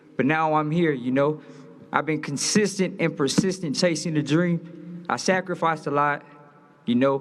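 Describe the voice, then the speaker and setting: With an American accent, a man talks at a fairly quick pace in a fairly high pitch. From Los Angeles. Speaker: boxer. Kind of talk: press conference speech. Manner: animated.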